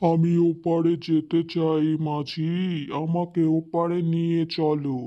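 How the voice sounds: In a cartoonish character voice at a middle pitch, the speaker goes at a very slow pace with monotone, flat intonation.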